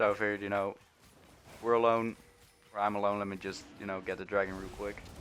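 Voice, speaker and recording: Very fast and monotone, a man talks in a fairly low, flat voice. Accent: non-native. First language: not English. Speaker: gaming streamer. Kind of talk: gameplay commentary. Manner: halting.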